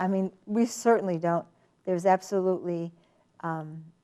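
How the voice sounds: A woman with a dark, mellow tone speaks at a fairly low pitch with ordinary pitch variation. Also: moderate pace.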